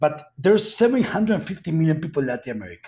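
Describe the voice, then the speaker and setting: A man's fairly high, somewhat breathy voice at a very fast pace, lively in intonation, with a strong Colombian accent. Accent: heavy Colombian Spanish. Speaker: cannabis company executive. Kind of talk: interview.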